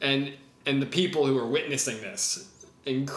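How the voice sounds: The voice reads naturally. Its pitch stays mostly level.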